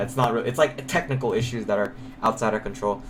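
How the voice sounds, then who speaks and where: Very fast male speech against noticeable background noise. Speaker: game coach. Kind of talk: coaching session over voice call. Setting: online voice call. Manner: loud.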